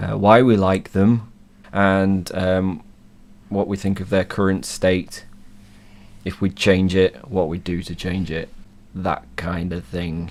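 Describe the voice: A man's croaky, low-pitched voice with vocal fry, ordinary pitch variation, a slow pace and long, frequent pauses.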